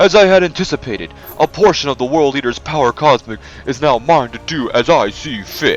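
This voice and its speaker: A man does a robotic, put-on character voice at a fairly high pitch with lively intonation. He talks at a fairly quick pace over clear music in the background. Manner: robotic, arrogant villain.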